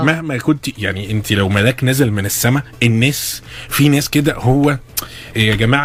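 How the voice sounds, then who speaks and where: Behind speech with ordinary pitch variation, there is noticeable background noise. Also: man. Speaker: radio host. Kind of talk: radio interview hosting. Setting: studio. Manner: casual, joking.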